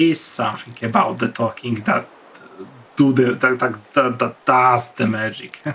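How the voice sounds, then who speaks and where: Speaking with a non-native accent, a man at medium pitch talks at a fairly slow pace with ordinary pitch variation over noticeable background noise. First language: not English. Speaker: gaming youtuber. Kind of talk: gameplay commentary. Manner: halting.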